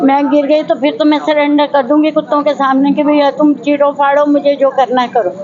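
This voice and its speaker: A woman speaks at a high pitch and a moderate pace with monotone, flat intonation and hardly any pauses. Her loudness stays very even against noticeable background noise. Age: 70s. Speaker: elderly resident. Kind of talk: protest statement to reporter.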